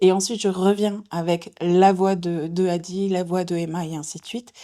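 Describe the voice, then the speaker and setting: A woman's medium-pitched voice with a dark, mellow tone, flat monotone intonation and a moderate pace. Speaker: voice actress, audiobook narrator. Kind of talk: interview.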